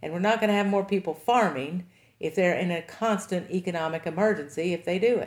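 This woman has an American accent and a medium pitch. She speaks at a fairly quick pace. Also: ordinary pitch variation. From Kentucky, Henry County. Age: 50s. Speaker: farmer and nonprofit director. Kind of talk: interview.

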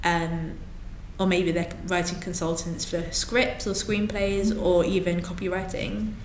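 A woman with a London accent speaks fairly slowly at a fairly low pitch with ordinary pitch variation. There is noticeable background noise and audible room echo. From London, England. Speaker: social media manager and children's author. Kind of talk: interview.

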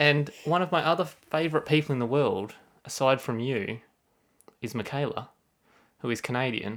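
With an Australian accent, a man speaks at a fairly high pitch, leaving long, frequent pauses in a very clean recording with a silent background. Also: ordinary pitch variation, moderate pace. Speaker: podcast host. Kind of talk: casual chat.

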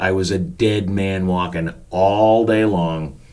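With an American accent, a man talks with ordinary variation in his pitch. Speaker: podcast host and storyteller, former park usher manager. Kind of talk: storytelling podcast narration. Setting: home studio.

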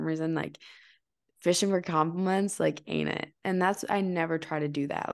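A woman speaks at a very deep, low pitch. Her intonation stays fairly even against a quiet background. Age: 20s. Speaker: podcast host. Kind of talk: casual chat.

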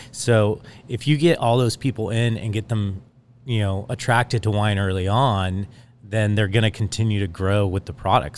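An unremarkable speaking voice from a man, fairly low in pitch with fairly even intonation. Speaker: winemaker. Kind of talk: casual chat. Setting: winery, in person.

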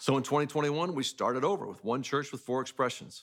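A man talks in a plain, everyday voice at a fairly high pitch. His pitch varies in an ordinary way. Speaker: church leader. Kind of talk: scripted narration. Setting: church.

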